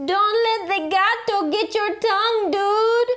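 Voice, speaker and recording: A woman performs a put-on character voice at an extremely high pitch. She speaks at a fairly slow pace. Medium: read story. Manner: casual, bossy.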